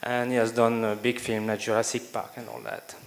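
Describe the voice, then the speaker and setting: With a slight French accent, a man talks at a fairly quick pace in a medium pitch and a monotone, flat intonation over noticeable background noise. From France. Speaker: education speaker. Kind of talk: conference speech. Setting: stage with audience. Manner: halting, with frequent fillers.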